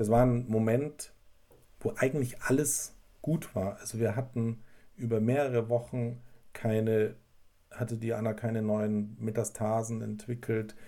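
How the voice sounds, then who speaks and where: This man speaks at a medium pitch with a dark, mellow tone and fairly even intonation. His pace is fairly slow, marked by long, frequent pauses. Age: 40s. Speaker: bereaved husband sharing faith story. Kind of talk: testimony. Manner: halting.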